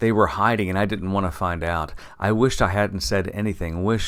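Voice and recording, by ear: With ordinary pitch movement, a natural voice reads aloud.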